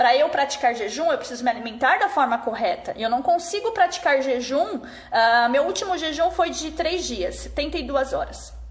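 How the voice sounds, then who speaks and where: Her voice is high for a woman, with very wide pitch swings and hardly any pauses. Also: moderate pace. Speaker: fasting and nutrition consultant. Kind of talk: live stream talk. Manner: casual.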